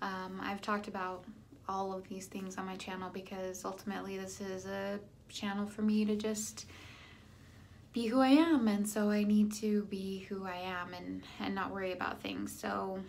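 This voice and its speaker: Room echo can be heard as the words come at a moderate speed. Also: woman. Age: 30s. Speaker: vlogger sharing weight loss surgery journey. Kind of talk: casual vlog monologue. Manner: halting, many fillers.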